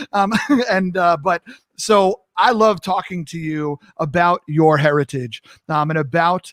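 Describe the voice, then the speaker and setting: The voice shows ordinary pitch variation at a fairly slow pace. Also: man. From New York. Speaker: talk show host. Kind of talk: live interview chat. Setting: live stream.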